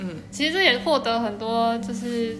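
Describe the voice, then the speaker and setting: A woman with a fairly high pitch talks at a moderate pace amid noticeable background noise and audible room echo. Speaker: podcast co-host, younger sister. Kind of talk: casual chat.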